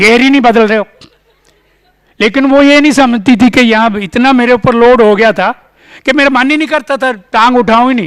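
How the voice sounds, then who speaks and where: Moderate pace from a man, his voice pitched extremely high. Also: ordinary pitch variation. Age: 70s. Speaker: conference speaker. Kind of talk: conference talk. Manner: halting.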